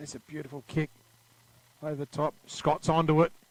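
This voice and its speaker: With a moderate pace, the recording has a dry, close sound with no echo. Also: man. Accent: Australian. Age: 60s. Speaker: football commentator. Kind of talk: live commentary.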